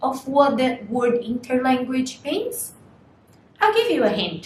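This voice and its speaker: A high-pitched woman's voice with noticeable background noise and audible room echo. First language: Portuguese. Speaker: language student. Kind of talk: lecture.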